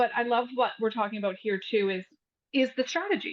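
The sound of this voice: At a fairly quick pace, a woman speaks with a fairly high pitch and ordinary pitch variation.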